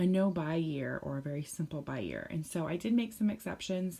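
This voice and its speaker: A woman speaks quietly at a moderate pace, her pitch fairly low. Her tone is dark and mellow, with ordinary pitch variation. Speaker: parenting vlogger. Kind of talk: casual chat.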